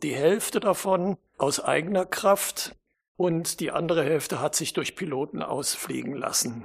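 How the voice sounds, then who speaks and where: A man's voice with ordinary pitch variation. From western Germany (Hesse, then North Rhine-Westphalia). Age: 70s. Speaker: author and historian, glider pilot. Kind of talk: interview.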